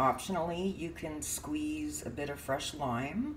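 Over light background noise, a woman talks very slowly with very wide pitch swings. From California. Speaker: home cook vlogger. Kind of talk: cooking tutorial; tutorial. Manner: casual, halting with frequent fillers. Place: kitchen. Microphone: phone near.

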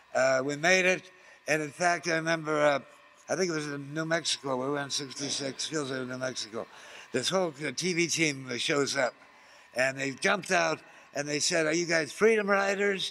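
At a moderate pace, a man speaks with a fairly high pitch, ordinary pitch variation and a bright, sharp tone. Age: 70s. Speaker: counterculture activist and radio host. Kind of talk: interview. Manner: rambling, halting.

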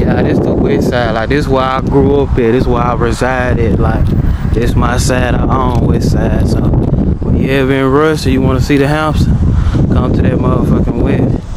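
A man speaks with loud background noise behind him. The sound is dry, with no echo. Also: moderate pace. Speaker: vlogger. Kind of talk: casual vlog chat. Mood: relaxed, playful. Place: street. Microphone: phone near.

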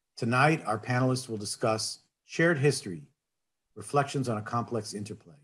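A man's voice comes across somewhat breathy, with lively intonation. The background is quiet. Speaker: conference host. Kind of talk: formal welcome speech. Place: home room. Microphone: webcam.

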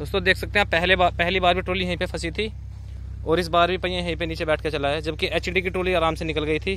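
At a moderate pace, a man speaks in a dry sound with no echo over light background noise. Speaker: tractor video creator. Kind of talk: commentary. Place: open country. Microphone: phone near.

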